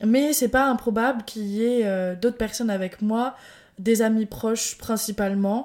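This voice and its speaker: Here a woman talks at a moderate pace with a fairly high pitch. She uses ordinary pitch variation. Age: 20s. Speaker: podcast host. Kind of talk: casual solo monologue. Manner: animated. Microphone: new microphone.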